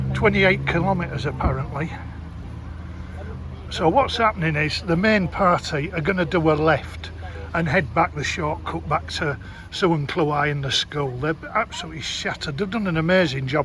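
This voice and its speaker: A man speaks at a moderate pace. Noticeable background noise is heard. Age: 60s. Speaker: travel vlogger. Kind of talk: vlog. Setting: outdoors.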